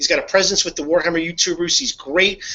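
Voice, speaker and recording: A high-pitched man talks with a slight Northeastern US accent. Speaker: hobby video host. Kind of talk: casual chat. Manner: halting, many fillers and repeats.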